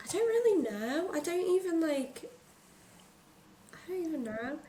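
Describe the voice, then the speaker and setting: A woman's extremely high voice makes very wide pitch swings and big jumps in loudness as she speaks at a fairly slow pace, with noticeable background noise and audible room echo. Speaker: podcast host. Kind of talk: casual chat.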